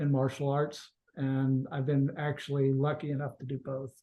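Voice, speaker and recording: A man talks at a moderate pace in a fairly high pitch. His voice is somewhat breathy. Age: 60s. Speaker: snake venom extractor. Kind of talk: interview.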